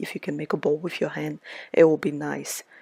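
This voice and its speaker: Soft-spoken and very deep in pitch, a woman speaks with a dry, close sound and no echo. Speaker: home baker. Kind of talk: cooking tutorial.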